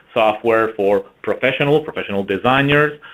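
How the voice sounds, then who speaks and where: A man with a French-Canadian accent talks at a moderate pace, his fairly low pitch carrying fairly even intonation. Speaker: marketing executive. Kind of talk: webinar presentation.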